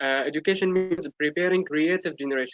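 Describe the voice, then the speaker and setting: A speaker with an Arabic accent talks with ordinary pitch variation, the sound dry and close with no echo. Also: man. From Syria. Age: 20s. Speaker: youth representative. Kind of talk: prepared speech. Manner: halting.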